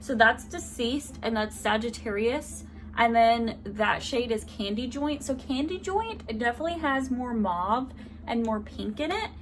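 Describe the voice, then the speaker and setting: The speaker goes at a fairly slow pace while noticeable background noise runs beneath. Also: woman. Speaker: beauty vlogger. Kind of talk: product review with swatches. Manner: loud; animated.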